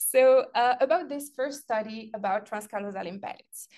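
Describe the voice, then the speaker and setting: A woman speaks with a non-native accent. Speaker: researcher giving lecture. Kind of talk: lecture.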